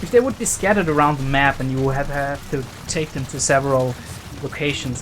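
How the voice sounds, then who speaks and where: Against noticeable background noise, a man with a non-native accent speaks at a moderate pace. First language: not English. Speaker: video game let's player. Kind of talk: gameplay commentary. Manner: casual, with filler hesitations.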